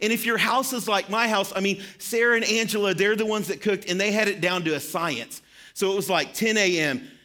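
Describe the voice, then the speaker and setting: Using a raised, projected voice, a man talks at a fairly quick pace in a high pitch, with ordinary pitch variation and very even loudness. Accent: slight Southern US. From Arkansas. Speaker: pastor. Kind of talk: sermon. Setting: church.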